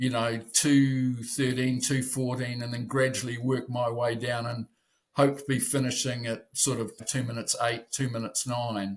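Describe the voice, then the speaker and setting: A man with a New Zealand accent speaks at a medium pitch. His delivery is flat and monotone and somewhat breathy. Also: moderate pace. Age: 70s. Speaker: masters rower. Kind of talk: interview. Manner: halting.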